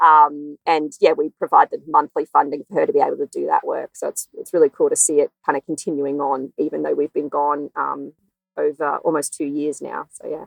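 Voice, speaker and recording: In an Australian accent, a woman talks at a fairly quick pace in a dry, close sound with no echo. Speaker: veterinarian. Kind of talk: interview.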